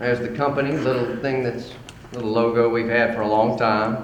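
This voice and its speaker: There is noticeable background noise and audible room echo. A man with an American accent speaks at a moderate pace. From Mississippi. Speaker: salvage company operations director. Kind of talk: conference presentation. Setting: conference hall with audience. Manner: loud.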